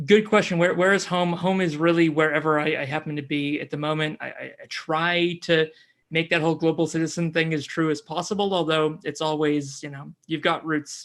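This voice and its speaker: Over a very clean recording with a silent background, a man with a fairly high pitch speaks at a fairly quick pace in a monotone, flat intonation with hardly any pauses. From US Pacific Northwest, near Seattle; teens in New Zealand. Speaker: climate podcaster. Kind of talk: interview.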